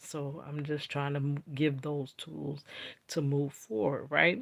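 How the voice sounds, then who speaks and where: Speaking at a fairly slow pace, a woman has a very deep, low pitch. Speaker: vlogger. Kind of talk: casual talk to camera. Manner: slow, deliberate.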